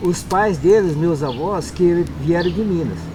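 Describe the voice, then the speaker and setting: Amid noticeable background noise and audible room echo, a man speaks slowly-ish at a fairly slow pace, his high pitch showing ordinary pitch variation. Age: 60s. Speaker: quilombola community member. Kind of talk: oral history interview.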